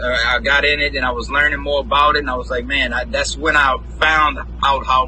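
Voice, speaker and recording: With a New Orleans accent, a man speaks at a fairly quick pace over noticeable background noise. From New Orleans, Louisiana. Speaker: independent rapper and music producer. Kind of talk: interview. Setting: live stream.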